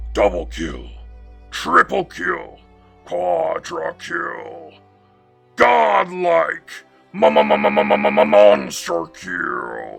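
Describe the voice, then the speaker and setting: With faint music in the background, a man uses a put-on character voice, very deep and low, at a very slow pace with long, frequent pauses. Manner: dramatic, booming, put-on.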